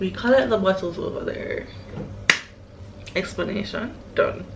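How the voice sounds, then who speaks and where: Speech at a fairly slow pace comes with noticeable background noise and audible room echo. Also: woman. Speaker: vlogger. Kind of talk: casual vlog. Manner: whispering.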